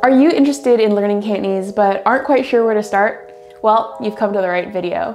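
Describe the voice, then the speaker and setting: Fairly quick talking amid noticeable background noise. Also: woman, medium pitch for a woman, lively intonation. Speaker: language learning YouTuber. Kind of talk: educational talk to camera. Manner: upbeat.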